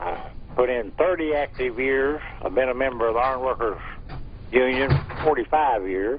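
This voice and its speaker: A man talks at a moderate speed with noticeable background noise behind him. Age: 70s. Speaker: caller, retired iron worker. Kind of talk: call-in comment.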